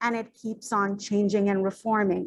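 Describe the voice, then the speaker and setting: A woman with a Bengali accent, at a moderate pace, with ordinary pitch variation. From Bangladesh. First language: Bangla. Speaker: PhD researcher and teacher. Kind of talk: academic presentation.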